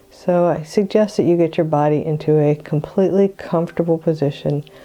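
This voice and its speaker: A woman with a very deep, low pitch speaks at a moderate pace in a guttural voice. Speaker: psychic medium and meditation guide. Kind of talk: guided meditation.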